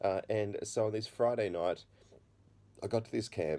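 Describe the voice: A man is speaking here. His voice is low-pitched, with a dark, mellow tone.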